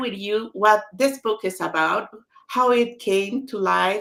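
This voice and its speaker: In a Spanish accent, a woman speaks at a fairly slow pace with medium pitch and ordinary pitch variation. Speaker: author. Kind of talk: online book launch talk.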